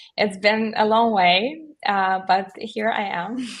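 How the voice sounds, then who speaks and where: A woman speaks with a non-native accent. Her pitch varies in an ordinary way. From Belarus. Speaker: solicitor. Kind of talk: panel discussion on webinar. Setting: virtual event.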